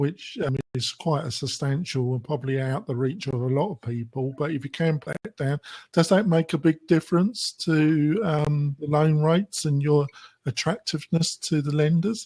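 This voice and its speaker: A man with a fairly high pitch and a dark, mellow tone, somewhat breathy, at a moderate pace with ordinary pitch variation, in a dry, close sound with no echo. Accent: British. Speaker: podcast host. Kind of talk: podcast interview. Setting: podcast.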